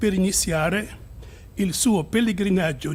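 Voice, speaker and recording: There is audible room echo as a man with a high pitch speaks at a fairly slow pace. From Egypt. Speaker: bishop. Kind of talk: conference speech. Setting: conference.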